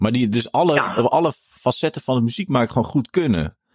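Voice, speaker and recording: The sound is dry and close with no echo as a man talks at a fairly quick pace. His pitch swings very widely, with vocal fry. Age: 50s. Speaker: jazz drummer and podcast host. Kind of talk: casual interview. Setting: video call.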